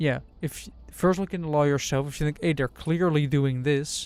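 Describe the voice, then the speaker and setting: A man speaks with a Dutch accent at a fairly high pitch. His intonation stays fairly even. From Netherlands. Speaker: streamer. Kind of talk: casual chat.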